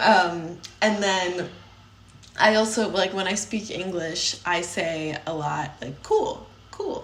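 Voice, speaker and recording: In a Chicago accent, a woman with medium pitch and fairly even intonation talks at a very slow pace. Noticeable background noise and audible room echo fill the recording. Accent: Chicago American English. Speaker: podcast co-host. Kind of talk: casual chat.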